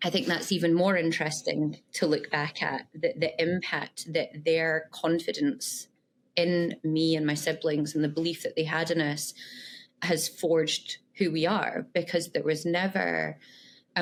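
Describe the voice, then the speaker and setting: A woman's fairly low voice in a Scottish accent, fairly slow, with very even loudness and fairly even intonation. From Scotland, west coast (Irvine). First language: Punjabi. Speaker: tech leader, podcast guest. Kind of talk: interview.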